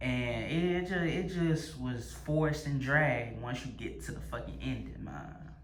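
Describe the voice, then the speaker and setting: A man's fairly slow speech with hardly any pauses, over noticeable background noise. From US South, Louisiana. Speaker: movie reviewer and vlogger. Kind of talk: casual monologue review. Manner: stuttering, repetitive; animated.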